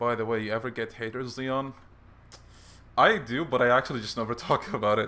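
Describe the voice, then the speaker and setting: With a bright, sharp tone and medium pitch, a man talks at a fairly quick pace broken by long, frequent pauses. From Bahrain. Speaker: gaming streamer. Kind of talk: live game stream chat. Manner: animated, frequent laughter.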